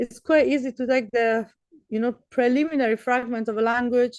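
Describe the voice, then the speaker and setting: A woman speaks in a high voice with a Persian accent. Her pace is moderate and her intonation flat and monotone. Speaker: professor. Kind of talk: lecture.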